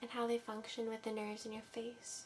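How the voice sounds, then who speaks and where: A soft-spoken woman whispering over noticeable background noise. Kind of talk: ASMR medical exam roleplay. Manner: soft-spoken, whispering.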